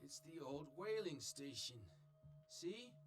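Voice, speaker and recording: In a put-on character voice, a man sounds raspy and fairly high-pitched, speaking at a fairly slow pace with lively intonation amid clear background noise. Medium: video game.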